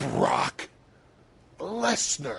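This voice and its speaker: A man does a put-on character voice, guttural and raspy. His pitch sits fairly high. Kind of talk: wrestling promo. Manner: visceral, violent.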